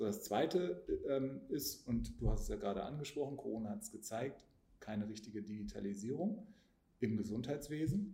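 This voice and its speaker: A man's somewhat breathy, medium-pitched voice with a dark, mellow tone, lively intonation, long and frequent pauses, and audible room echo. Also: moderate pace. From Hanover, northern Germany. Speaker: politician. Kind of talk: casual interview.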